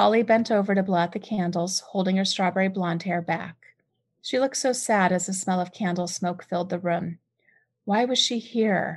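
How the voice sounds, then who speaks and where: In an American accent, a woman speaks at medium pitch in a somewhat breathy voice with ordinary pitch variation. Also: quiet background. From US West Coast, San Diego. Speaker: author and podcaster. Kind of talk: reading aloud.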